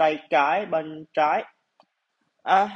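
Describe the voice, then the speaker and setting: The speaker is a man with a fairly high pitch. He uses ordinary pitch variation. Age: 20s. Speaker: podcaster. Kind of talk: personal monologue. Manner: halting.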